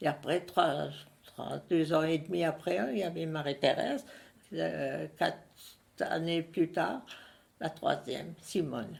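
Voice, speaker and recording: Speech from a woman comes at a very slow pace. Pauses are long and frequent. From Alsace, Strasbourg area. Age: 90s. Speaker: elderly witness. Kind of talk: interview testimony. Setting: at her home. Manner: halting.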